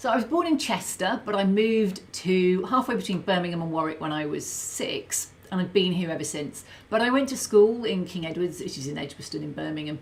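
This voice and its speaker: A somewhat breathy woman talks at a fairly quick pace with hardly any pauses, medium pitch and lively intonation. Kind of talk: casual, chatty.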